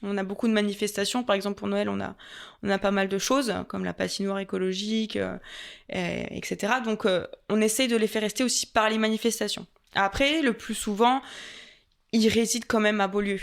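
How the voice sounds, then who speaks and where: A woman with a slight Franche-Comté accent talks at a fairly quick pace, at medium pitch with fairly even intonation. The recording is very clean, with a silent background. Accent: slight Franc-Comtois. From Franche-Comté, France. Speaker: tourist office adviser and content creator. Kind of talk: podcast interview. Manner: hesitant, many fillers.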